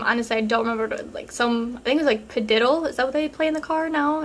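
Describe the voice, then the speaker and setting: A woman is speaking. Her voice is high-pitched. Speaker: relationship advice vlogger. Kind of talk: casual Q&A vlog. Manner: casual, many fillers.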